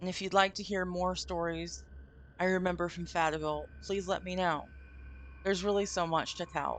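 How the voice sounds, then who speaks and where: Speaking at a moderate pace, a woman with an American accent has a fairly low pitch. Her intonation stays flat and monotone. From Vermont, US. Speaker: streamer. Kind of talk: reading aloud a story with live commentary. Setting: live stream from home.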